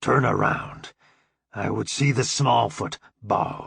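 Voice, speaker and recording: Growling in a put-on character voice, a man of medium pitch speaks at a fairly slow pace. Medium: read story. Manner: simple broken English.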